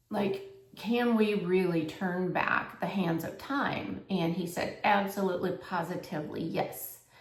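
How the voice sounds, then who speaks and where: Audible room echo surrounds a woman of medium pitch. She speaks at a fairly slow pace with ordinary pitch variation. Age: 60s. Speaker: health coach and vlogger. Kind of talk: casual vlog monologue. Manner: conversational, filler-heavy.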